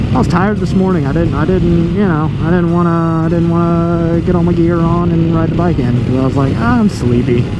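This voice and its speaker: Delivered at a fairly quick pace with very even loudness, the speech carries audible room echo and noticeable background noise. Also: man, high pitch for a man, ordinary pitch variation, hardly any pauses. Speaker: motovlogger and truck driver. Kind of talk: casual vlog narration while riding. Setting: on a motorcycle outdoors. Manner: relaxed, laid back.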